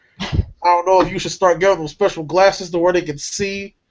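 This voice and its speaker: High pitch from a man at a fairly quick clip, music playing behind. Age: 20s. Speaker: podcast co-host. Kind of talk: casual chat.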